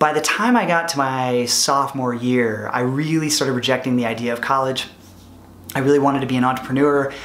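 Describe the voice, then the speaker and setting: In a room with audible echo, a man speaks at a fairly quick pace with fairly even intonation. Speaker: product manager and former entrepreneur. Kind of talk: vlog monologue. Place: home room.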